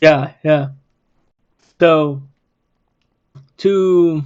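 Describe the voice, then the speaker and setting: Against a quiet background, a man with a non-native accent speaks in a fairly high pitch with fairly even intonation. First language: not English. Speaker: podcast host. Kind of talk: casual chat.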